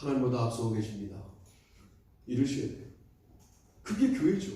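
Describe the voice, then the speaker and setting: A man's voice swings very widely in pitch, with audible echo from the room. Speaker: pastor. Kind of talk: sermon. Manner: fast.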